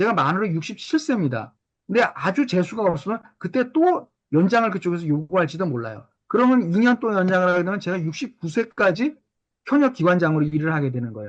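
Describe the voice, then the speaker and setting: Speaking at a fairly quick pace, a man with a high pitch makes very wide pitch swings. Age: 60s. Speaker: psychiatrist lecturer. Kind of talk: lecture. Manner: hesitant fillers.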